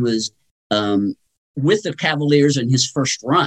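A man with a plain, everyday voice, at a moderate pace and with lively intonation. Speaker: sports talk guest. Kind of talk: radio interview, sports talk. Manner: conversational, thoughtful, some filler words.

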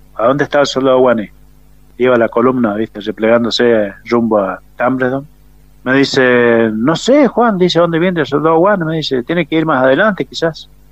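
A man with a plain, everyday voice talks at medium pitch and a moderate pace, his intonation lively. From Argentina, San Rafael, Mendoza. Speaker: war veteran. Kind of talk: testimony. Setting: phone call.

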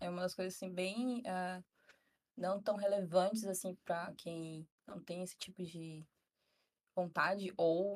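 A woman speaks fairly slowly in an unremarkable speaking voice. Her pitch is medium and her intonation fairly even. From northern Brazil, Tocantins (Araguaína). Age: 20s. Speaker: psychology student. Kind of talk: casual chat.

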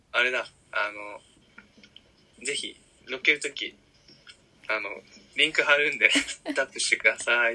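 A man speaks at a fairly slow pace with long, frequent pauses and big swings in loudness. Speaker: podcast co-host. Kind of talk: casual chat.

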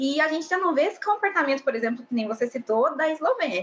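A woman is speaking. Her pace is very fast. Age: 20s. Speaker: law student and reality show fan. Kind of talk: casual chat.

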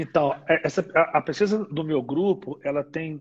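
Pitch varies in an ordinary way. The delivery is fairly slow. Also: man. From Brazil, Minas Gerais (Ipatinga). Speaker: dentist and university research scientist. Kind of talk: interview on a live stream. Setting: online live broadcast. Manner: halting, many repeated fillers.

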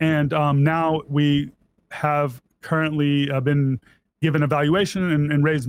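An American accent marks this man's fairly high voice. His intonation stays monotone and flat. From US South. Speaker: software engineer and entrepreneur. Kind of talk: casual interview.

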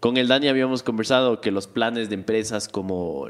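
The speaker has an animated tone and ordinary pitch variation. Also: man. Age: 20s. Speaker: tech podcast co-host. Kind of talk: casual chat.

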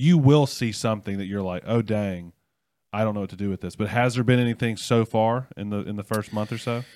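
This man has a fairly low pitch and an unremarkable speaking voice. The recording is very clean, with a silent background. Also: ordinary pitch variation, fairly quick pace. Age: 30s. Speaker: student ministry pastor and podcast host. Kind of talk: casual chat. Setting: studio.

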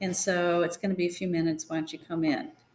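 A woman speaks with an American accent at a medium pitch. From Northern California. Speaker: pastor's wife. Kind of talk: storytelling.

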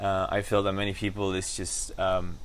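This man has a Spanish accent. His pitch sits fairly low. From Argentina, Buenos Aires. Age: 40s. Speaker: actor and entrepreneur. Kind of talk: casual interview. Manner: halting.

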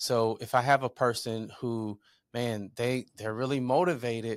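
Recorded very cleanly against a silent background with a dry, close sound and no echo, a man speaks at a medium pitch with an American accent. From southern Illinois, US Midwest. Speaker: entrepreneur and author. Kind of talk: interview. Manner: halting, many fillers.

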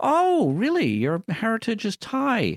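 A man with a Scottish accent swings his pitch very widely on a very clean recording with a silent background. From Scotland. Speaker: radio host. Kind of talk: casual banter, radio show. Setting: radio studio. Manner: jokey, wordplay, rambling.

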